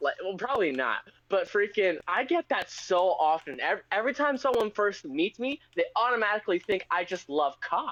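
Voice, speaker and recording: A man's high, bright, sharp voice with very wide pitch swings and very even loudness, in a dry, close sound with no echo. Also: moderate pace, hardly any pauses. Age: 20s. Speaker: podcast co-host. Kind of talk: casual chat.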